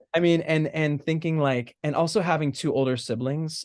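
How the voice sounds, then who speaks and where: A man with an American accent at a moderate pace. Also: quiet background. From US, Southern California. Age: 20s. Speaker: stage actor. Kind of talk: casual chat. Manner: halting, many fillers.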